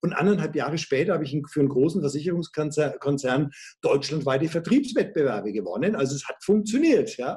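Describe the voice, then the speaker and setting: The speaker is a man with a fairly high voice. He varies his pitch in an ordinary way. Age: 50s. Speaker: sales coach and trainer. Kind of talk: interview. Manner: animated.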